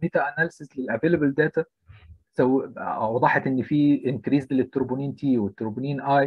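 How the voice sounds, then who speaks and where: At a moderate pace, an ordinary speaking voice delivers its words with fairly even intonation. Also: man. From Egypt, Alexandria. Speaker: intensive care physician. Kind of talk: lecture.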